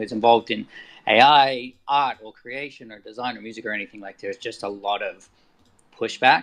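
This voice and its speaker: Over a quiet background, a man speaks in an Australian accent with fairly even intonation. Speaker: artist and photographer. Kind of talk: casual discussion.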